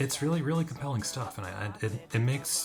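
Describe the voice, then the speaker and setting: Lively intonation at a fairly quick pace, with music in the background. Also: man. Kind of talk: casual commentary to camera. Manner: casual, hesitant.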